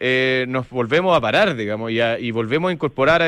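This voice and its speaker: A man with a Chilean accent, medium in pitch. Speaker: radio host. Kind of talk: radio interview. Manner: halting.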